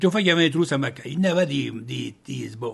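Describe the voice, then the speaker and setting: A man's fairly high voice with vocal fry at a very fast pace. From Trois-Rivières, Quebec. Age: 80s+. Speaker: retired paper mill worker. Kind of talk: interview answer. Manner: casual, colloquial storytelling.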